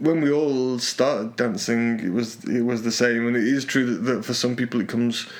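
A man speaks in a Yorkshire accent at a medium pitch. His pitch variation is ordinary, with noticeable background noise. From northern England, Yorkshire. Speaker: podcast co-host, salsa teacher and programmer. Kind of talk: casual chat. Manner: halting, many repetitions and fillers.

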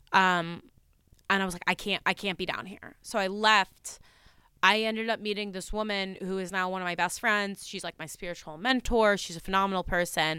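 A voice with a New Jersey accent and a bright, sharp tone speaks at a fairly quick pace with fairly even intonation. The recording is very clean, with a silent background. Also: woman, medium pitch for a woman. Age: 20s. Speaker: psychic medium. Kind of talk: casual chat.

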